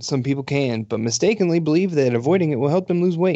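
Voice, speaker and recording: In an unremarkable speaking voice, a man talks fairly quickly at a fairly high pitch, with lively intonation. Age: 30s. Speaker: podcast co-host. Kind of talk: casual chat; reading aloud.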